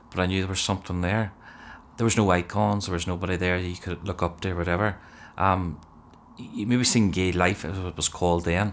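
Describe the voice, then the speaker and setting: In a Northern Irish accent, a man with a very deep, low pitch speaks at a fairly quick pace with monotone, flat intonation. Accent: Derry Northern Irish. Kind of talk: testimony.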